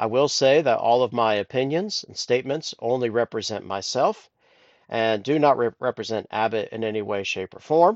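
A man's medium-pitched voice in a Midwestern accent, with big swings in loudness and ordinary pitch variation. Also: moderate pace. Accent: General American (Midwest). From US Midwest, Columbus, Ohio. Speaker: podcast host, IT engineer. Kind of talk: solo podcast monologue. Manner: halting, frequent fillers.

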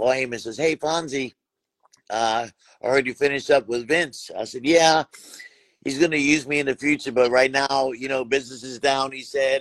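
Here is a man with an unremarkable speaking voice, pitched fairly high. He talks at a fairly quick pace with fairly even intonation. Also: dry, close sound with no echo. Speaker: wrestling referee and personality. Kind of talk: casual chat. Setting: video call.

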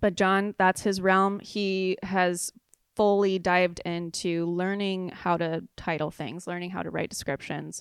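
A woman at medium pitch, with a Californian accent, a fairly slow pace and monotone, flat intonation, on a very clean recording with a silent background. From southern California, San Clemente. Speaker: artist and business owner. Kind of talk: interview.

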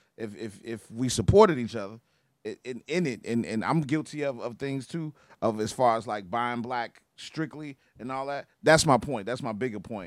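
On a very clean recording with a silent background, a man with an unremarkable speaking voice and an American accent talks at a moderate pace and medium pitch with ordinary pitch variation. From Chicago. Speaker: clothing brand owner. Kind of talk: casual chat.

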